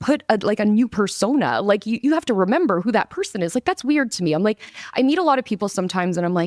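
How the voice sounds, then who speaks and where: Loud and animated, a woman talks at a very fast pace with a fairly high pitch and very wide pitch swings, in a dry, close sound with no echo. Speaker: marketing agency owner. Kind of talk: casual chat.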